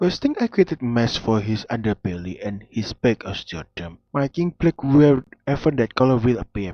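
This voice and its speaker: At a moderate pace with hardly any pauses, a man speaks in an ordinary speaking voice, medium in pitch, with lively intonation. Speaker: 3D modeling hobbyist. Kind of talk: tutorial-style narration. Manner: casual.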